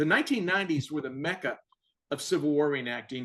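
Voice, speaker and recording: An unremarkable speaking voice from a man with an American accent, fairly high in pitch, at a fairly quick pace. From Virginia, US. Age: 60s. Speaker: author and retired Air Force officer. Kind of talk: casual interview.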